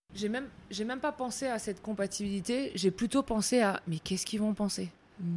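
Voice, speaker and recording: A somewhat breathy woman's voice, fairly high in pitch with ordinary pitch variation, at a moderate pace with long, frequent pauses, on a very clean recording with a silent background. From France, Alsace. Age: 30s. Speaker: basketball coach. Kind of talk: interview.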